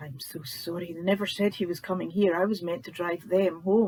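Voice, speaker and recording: Someone speaks at a fairly quick pace with a Scottish accent. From Scotland. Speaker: author reading own book. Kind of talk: audiobook narration.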